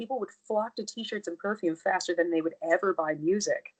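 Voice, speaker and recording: The sound is dry and close, with no echo. A woman at medium pitch speaks at a moderate pace. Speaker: singer. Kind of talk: casual chat.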